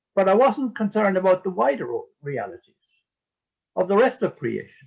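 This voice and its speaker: In an Irish accent, a man with a high pitch speaks with very wide pitch swings. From Ireland. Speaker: priest and eco-theologian. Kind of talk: interview talk. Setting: video call. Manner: halting.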